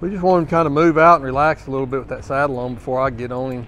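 The speech runs at a very fast pace. Faint music plays in the background. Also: man. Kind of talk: casual commentary. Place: hall.

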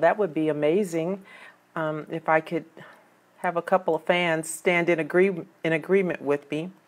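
A woman with an unremarkable speaking voice and a fairly low pitch speaks at a moderate pace with fairly even intonation. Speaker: police sergeant podcaster. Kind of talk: casual vlog chat. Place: home room. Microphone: webcam.

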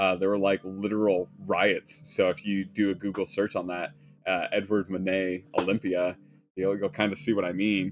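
Faint music plays behind a man whose fairly low voice moves at a moderate pace with fairly even intonation. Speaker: leather craftsman narrating while working. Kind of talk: casual livestream chat. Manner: casual, conversational, many fillers. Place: workshop.

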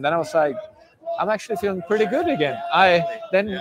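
A man with a Swedish accent talks at a fairly quick pace. The sound is dry with no echo, and there is noticeable background noise. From Sweden. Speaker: pro mountain biker; guest. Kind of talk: casual chat. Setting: live at a bike event. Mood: relaxed, reflective. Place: street. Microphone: lapel.

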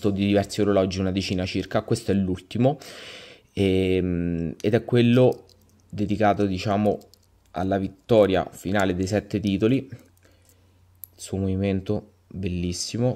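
Taking long, frequent pauses at a fairly slow pace, a man speaks with a dark, mellow tone and fairly even intonation. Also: fairly low pitch for a man. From central Italy (Lazio). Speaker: viewer presenting his watch collection. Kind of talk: casual self-recorded video presentation. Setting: self-recorded video. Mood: enthusiastic, satisfied. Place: home room.

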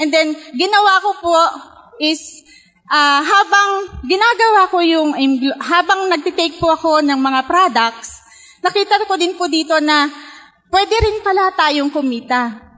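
Extremely high in pitch, a woman uses a raised, projected voice with lively intonation, a fairly slow pace and long, frequent pauses. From Philippines, Pangasinan; Philippines. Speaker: network marketing distributor; speaker. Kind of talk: testimony. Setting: stage with audience. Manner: halting. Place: hall. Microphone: handheld.

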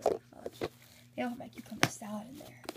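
A woman talking at a fairly quick pace against loud background noise. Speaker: beauty vlogger. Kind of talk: haul video. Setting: filming at home, poor lighting. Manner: casual, chatty. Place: home room. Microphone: phone near.

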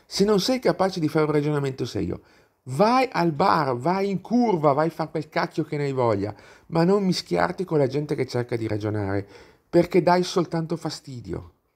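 On a very clean recording with a silent background, a man with a fairly high pitch speaks at a moderate pace with very wide pitch swings. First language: not Italian (speaking Italian). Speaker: YouTuber, political commentator. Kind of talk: video monologue, political commentary. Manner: animated.

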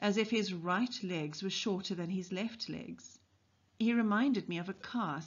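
Pitch varies in an ordinary way. The delivery is an unforced reading voice.

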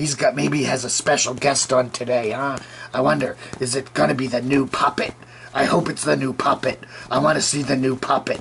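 A man puts on a cartoonish character voice at a medium pitch, talking at a fairly quick pace over clear background noise. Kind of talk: puppet show commentary. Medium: puppet. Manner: rambling, hesitant.

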